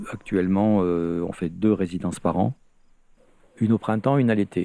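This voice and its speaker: Here a man speaks at a moderate pace with a very deep, low pitch. His tone is dark and mellow, and his pitch varies in an ordinary way. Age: 70s. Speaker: retired art history professor, artist residency founder. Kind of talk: interview, storytelling.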